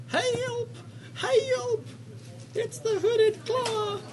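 Over clear background noise, someone does a squeaky, put-on character voice. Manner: dramatic, urgent, over the top.

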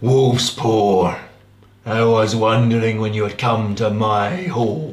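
Over an audible echo, a man uses a put-on character voice at a medium pitch, fairly slow and at very even loudness. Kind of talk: archaic, formal. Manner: gruff, stern.

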